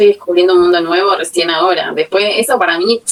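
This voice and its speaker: Behind the fairly even intonation, noticeable background noise can be heard. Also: woman. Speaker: guest sharing personal experience. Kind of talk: casual chat.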